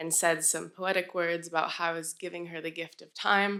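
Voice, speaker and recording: Her voice is fairly low for a woman, with a bright, sharp tone and monotone, flat intonation. The recording is very clean with a silent background. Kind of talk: live storytelling performance. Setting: live stage event. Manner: personal, conversational storytelling.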